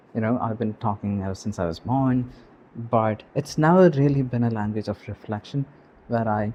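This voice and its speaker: The man has a non-native accent and a relaxed tone. He talks at a moderate pace. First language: not English. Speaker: YouTuber. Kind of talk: casual unscripted vlog monologue. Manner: relaxed, with many fillers (um, you know).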